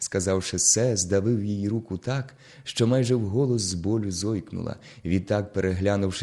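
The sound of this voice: Here we have an unforced reading voice.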